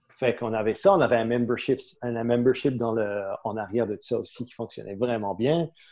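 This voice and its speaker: A man of medium pitch speaks at a fairly quick pace with ordinary pitch variation and big swings in loudness. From Saint-Pierre-et-Miquelon. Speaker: entrepreneur. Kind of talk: casual interview. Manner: halting, many repetitions and fillers.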